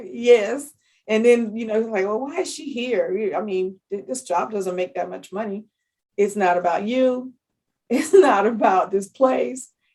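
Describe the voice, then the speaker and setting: This woman has an unremarkable speaking voice at a fairly high pitch. She talks at a fairly slow pace with lively intonation. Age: 60s. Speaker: public health analyst. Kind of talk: podcast interview.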